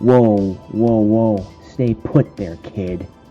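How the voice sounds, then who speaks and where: With clear music in the background, a man puts on a character voice at a fairly low pitch. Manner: gruff, commanding.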